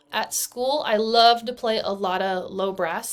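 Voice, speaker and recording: Talking at a moderate pace, a woman with an American accent has a fairly high pitch and ordinary pitch variation. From US Midwest, eastern Kansas. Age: 20s. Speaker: band director and graduate student. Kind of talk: recorded class presentation. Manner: casual, with frequent fillers.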